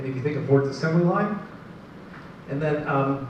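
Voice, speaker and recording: Fairly quick, fairly even delivery with audible room echo and noticeable background noise. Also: man. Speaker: marketing advisor and business presenter. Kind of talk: business presentation to live audience. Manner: fast.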